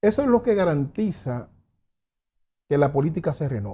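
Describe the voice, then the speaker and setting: This man's voice sits at a fairly high pitch, with a dark, mellow tone that is somewhat breathy. His pitch swings very widely. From Dominican Republic. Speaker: political commentator. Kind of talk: interview. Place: studio. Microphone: lapel.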